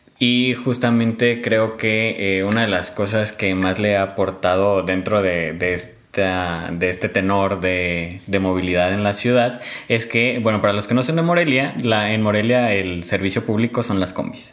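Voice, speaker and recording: Speaking at a fairly low pitch with ordinary pitch variation and very even loudness, a man is heard against noticeable background noise. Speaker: podcast host. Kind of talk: interview chat.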